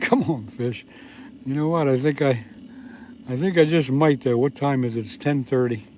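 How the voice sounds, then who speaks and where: With a fairly high pitch and ordinary pitch variation, this man speaks at a moderate speed through noticeable background noise. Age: 70s. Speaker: fishing livestreamer. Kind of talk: casual live stream chat. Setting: outdoors in ice fishing shelter. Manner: relaxed, chatty.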